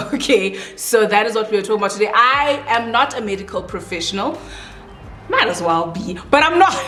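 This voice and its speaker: A woman with a non-native accent speaks at a fairly quick pace in a fairly high pitch with lively intonation, with music in the background and audible room echo. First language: not English. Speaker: beauty vlogger. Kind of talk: casual chat while doing makeup. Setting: at home with bright lights, doors open.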